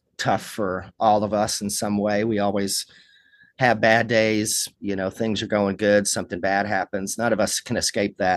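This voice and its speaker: A man with a Kentucky accent speaks at a fairly low pitch, the sound dry and close with no echo against a quiet background. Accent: Kentucky Southern. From Kentucky, Lawrenceburg. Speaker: rock musician. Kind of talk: interview.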